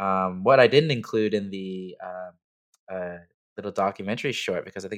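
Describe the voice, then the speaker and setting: Against a quiet background, a man with an unremarkable speaking voice talks at a fairly quick pace in a fairly low voice with fairly even intonation. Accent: Canadian. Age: 30s. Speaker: clothing brand owner. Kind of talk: casual chat.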